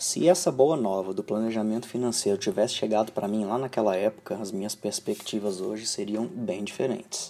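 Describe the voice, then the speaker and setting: In a dark, mellow tone and a fairly low pitch, a man speaks with hardly any pauses. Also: ordinary pitch variation, fairly quick pace. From Brazil. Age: 30s. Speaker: financial planner. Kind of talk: personal video monologue.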